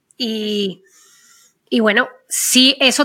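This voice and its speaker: The recording is very clean, with a silent background. A woman speaks in a bright, sharp tone. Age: 50s. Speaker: podcast co-host. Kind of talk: casual chat.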